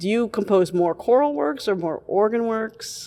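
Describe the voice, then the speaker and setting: Speaking at a moderate pace, a woman uses lively intonation in an unremarkable speaking voice. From New York. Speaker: radio host and cathedral music director. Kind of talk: radio interview. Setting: on location at a seminary.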